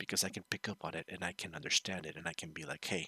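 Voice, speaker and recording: Recorded dry and close with no echo, a man speaks at a fairly quick pace in a bright, sharp tone. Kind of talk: casual commentary. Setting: home recording. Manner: animated; lowered voice.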